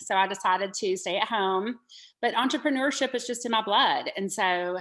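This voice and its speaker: In a Southern US accent, a woman talks at a fairly slow pace with a fairly high pitch, ordinary pitch variation and a bright, sharp tone on a very clean recording with a silent background. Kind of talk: podcast interview.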